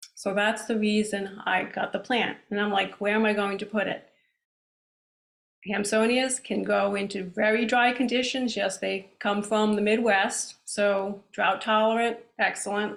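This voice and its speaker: In a Rhode Island accent, a woman talks at a fairly slow pace with monotone, flat intonation. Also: medium pitch for a woman. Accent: Rhode Island accent, stronger than usual now. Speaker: plant society speaker. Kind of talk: lecture. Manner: casual, hesitant with ums.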